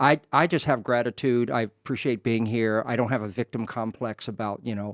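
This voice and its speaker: With an American accent, a man talks at a fairly quick pace and fairly even intonation, in a dry, close recording with no echo. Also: medium pitch for a man. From US East Coast, North Carolina then Maryland. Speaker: career development coach and author. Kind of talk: podcast interview, casual chat. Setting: studio podcast, drinking whiskey. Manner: halting, many fillers and repeats.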